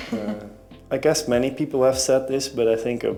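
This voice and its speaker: A man with a Dutch accent at a fairly quick pace, ordinary pitch variation, music in the background. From Netherlands. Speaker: singer-songwriter. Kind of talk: interview. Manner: halting.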